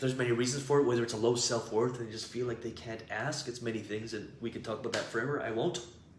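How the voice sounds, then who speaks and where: A man's medium-pitched, animated voice at a very fast pace with hardly any pauses, amid noticeable background noise and audible room echo. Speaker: business coach. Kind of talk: live stream teaching. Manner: loud.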